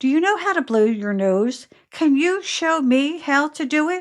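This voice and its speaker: Using a put-on character voice, a woman speaks high in pitch with a gentle tone, very wide pitch swings and a moderate pace. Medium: read story. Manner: kind, gentle.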